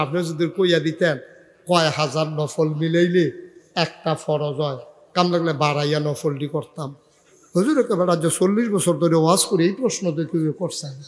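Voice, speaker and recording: This man's voice sits high in pitch, with fairly even intonation. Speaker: Islamic preacher. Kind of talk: sermon. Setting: religious gathering with audience.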